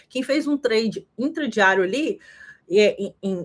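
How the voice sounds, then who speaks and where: Speaking very slowly with lively intonation, a woman with a fairly high pitch is heard on a very clean recording with a silent background. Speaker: crypto market analyst. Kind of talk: livestream market analysis. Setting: live stream.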